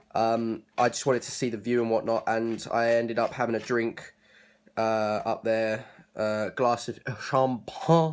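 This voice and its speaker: In a southern English accent, a man at medium pitch speaks at a fairly slow pace with monotone, flat intonation. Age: 20s. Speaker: vlogger. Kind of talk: casual vlog talk. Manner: hesitant, many fillers.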